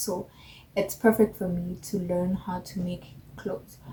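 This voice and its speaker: A somewhat breathy woman is talking. Her pitch is medium, and her intonation is fairly even. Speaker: beginner fashion vlogger. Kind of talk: casual vlog monologue. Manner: slow.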